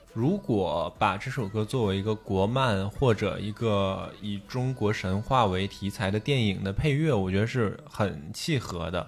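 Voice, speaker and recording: A man talks at a very slow pace in a fairly low pitch. His pitch varies in an ordinary way. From Liaoning, northeast China. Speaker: podcast co-host. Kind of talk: casual chat, music sharing.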